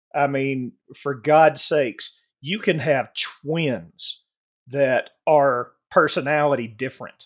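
In a very clean recording with a silent background, a man speaks at a very slow pace with a Southern US accent. His pitch is fairly high, with ordinary pitch variation. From US South, Alabama. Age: 40s. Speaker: podcast panelist. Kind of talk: casual chat.

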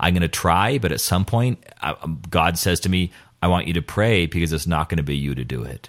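Over a silent background in a very clean recording, a man with a very deep, low voice and vocal fry talks at a very fast pace with ordinary pitch variation. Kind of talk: casual chat about faith. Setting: studio in a rectory.

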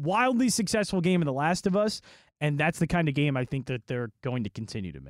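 A man speaks at a fairly quick pace in a fairly high voice. His pitch swings very widely. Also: very clean recording, silent background. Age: 20s. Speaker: radio host and game reviewer. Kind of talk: casual chat.

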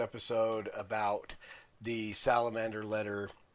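A man with an American accent at a medium pitch, speaking at a very slow pace on a very clean recording with a silent background. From Utah, Salt Lake City. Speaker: podcast host. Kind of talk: solo review monologue.

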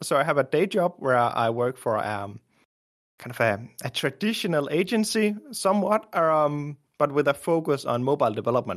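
A man with a Danish accent, fairly high pitch for a man and very wide pitch swings, at a moderate pace against a quiet background. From Denmark. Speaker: indie app developer. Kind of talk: casual interview.

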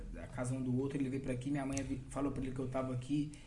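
Somewhat breathy and dark, mellow in tone, a man's voice comes with audible room echo. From Brazil. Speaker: funk MC. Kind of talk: casual chat.

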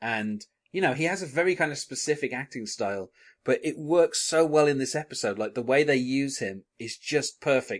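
A man's fairly high voice with ordinary pitch variation at a moderate pace. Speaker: podcast host. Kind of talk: podcast episode recap and chat. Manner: chatty, hesitant with many filler words.

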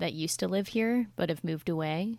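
A woman's fairly low, normal speaking voice at a moderate pace, ordinary pitch variation, very clean recording with a silent background. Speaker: tabletop roleplaying player. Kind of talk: actual play game session.

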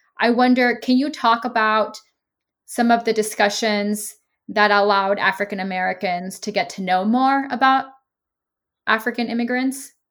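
A woman with a normal speaking voice talks at a moderate pace, her pitch fairly high. Her intonation is fairly even, and the recording is very clean with a silent background. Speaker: podcast host. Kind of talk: interview. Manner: formal.

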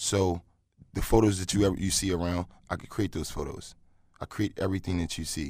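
On a very clean recording with a silent background, a man with a very deep, low pitch talks fairly quickly with fairly even intonation. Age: 20s. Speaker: entrepreneur and adult entertainer. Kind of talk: casual interview.

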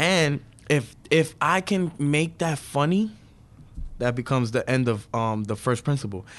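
Against a quiet background, a man with a New York accent talks at a moderate pace with lively intonation. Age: 20s. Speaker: comedian. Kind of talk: casual chat. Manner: animated.

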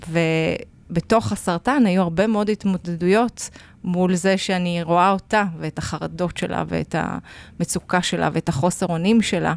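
At a fairly slow pace, a woman with a fairly low pitch uses a normal speaking voice with ordinary pitch variation, on a very clean recording with a silent background. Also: hardly any pauses, dry, close sound with no echo. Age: 40s. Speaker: podcast co-host, lecturer and writer. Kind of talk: casual chat.

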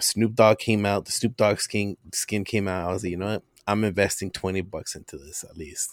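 In an unremarkable speaking voice, a man talks at a fairly low pitch and a fairly quick pace with hardly any pauses, his loudness swinging widely in a dry, close sound with no echo. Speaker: guest podcaster. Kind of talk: casual chat. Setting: remote recording.

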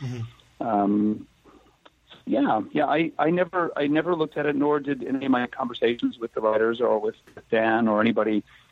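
A man speaks at a medium pitch and moderate pace with ordinary pitch variation. He has an ordinary speaking voice. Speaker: actor. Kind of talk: casual interview. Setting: phone call.

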